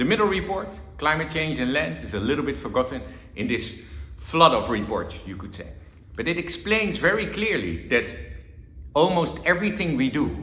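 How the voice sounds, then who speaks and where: A man with a Dutch accent speaks at a moderate pace in a fairly high pitch, with very wide pitch swings and big swings in loudness. He takes long, frequent pauses, and audible room echo surrounds him. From Netherlands. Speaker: government envoy on water. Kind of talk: conference talk.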